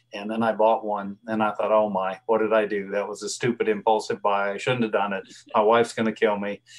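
With a Southern US accent, a man talks in a fairly low voice. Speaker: veterinarian. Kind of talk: interview. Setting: video call.

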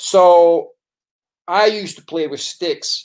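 The speaker is a man with a high pitch. The background is quiet. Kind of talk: casual vlog chat. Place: home room. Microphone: webcam.

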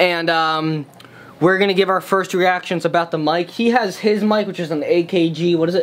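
A man's high pitch with a fairly bright tone, fairly even intonation and a moderate pace.

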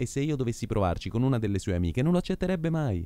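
Very fast and with very wide pitch swings, a man talks in a dark, mellow tone, the sound dry with no echo. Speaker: actor. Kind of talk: comic theatre monologue. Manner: brash, self-assured. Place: hall.

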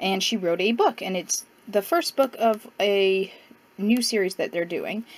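Fairly slow speech from a woman, with ordinary pitch variation. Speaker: book vlogger. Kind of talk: casual vlog chat. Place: home room.

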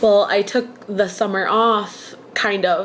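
The intonation stays fairly even, with light background noise behind it. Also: woman. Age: 20s. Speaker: vlogger. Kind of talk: personal video diary. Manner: casual, hesitant with fillers. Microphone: webcam.

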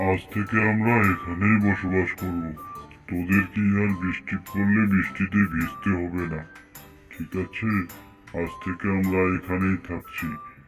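Using a cartoonish character voice, a man speaks at a fairly slow pace in a very deep, low pitch, with clear music in the background.

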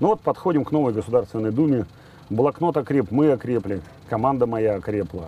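A man's fairly quick, lively delivery in a dark, mellow tone, dry with no echo, over light background noise. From southern Russia, Volgodonsk (Rostov region); Rostov region, Russia. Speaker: politician and video blogger; political blogger. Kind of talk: personal monologue to camera. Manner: conversational, with fillers. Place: boat.

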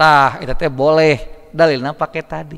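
A man talks at a moderate pace in a bright, sharp tone. The background is quiet. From West Java, Indonesia. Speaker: Islamic preacher. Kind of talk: sermon. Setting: mosque. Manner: conversational, bantering with audience. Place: hall. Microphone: podium.

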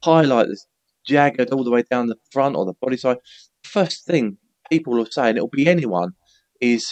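Quiet surroundings and a male voice of ordinary pitch variation. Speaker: remote podcast guest. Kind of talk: interview answer. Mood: animated, good-humoured. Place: home room. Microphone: headset.

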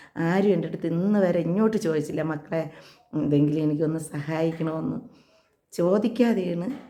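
A woman's fairly low voice comes through with audible room echo. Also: ordinary pitch variation. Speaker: ASHA health worker and vlogger. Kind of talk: personal vlog appeal.

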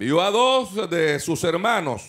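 A man speaks with lively intonation against a quiet background. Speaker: pastor preaching. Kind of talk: sermon. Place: hall. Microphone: handheld.

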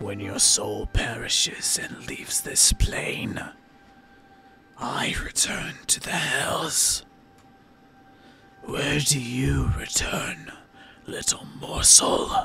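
A raspy, put-on character voice from a man at a very slow pace, with faint music in the background. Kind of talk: horror fantasy roleplay. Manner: menacing, hungry, taunting.

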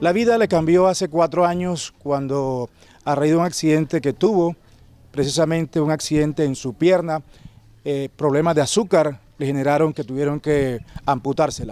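A man talks at a moderate pace with a dark, mellow tone and ordinary pitch variation. The sound is dry, with no echo. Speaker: TV news reporter. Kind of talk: news report stand-up. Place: street. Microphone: handheld.

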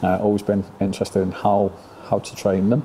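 A moderate pace over light background noise. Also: man. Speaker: dog trainer. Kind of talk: interview answer. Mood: relaxed, laughing often. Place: hall.

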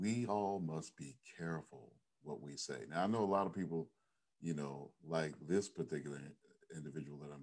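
Against a quiet background, a man speaks at a moderate pace with ordinary pitch variation. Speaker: pastor. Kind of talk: sermon. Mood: earnest, cautionary. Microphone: webcam.

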